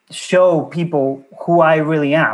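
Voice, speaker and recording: He has an ordinary speaking voice. This man's pitch is fairly high and his intonation fairly even. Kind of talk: casual interview chat.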